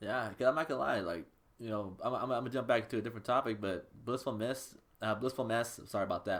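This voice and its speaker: A man at a very fast pace, medium in pitch. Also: ordinary pitch variation. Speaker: interview podcast host. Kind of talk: casual interview.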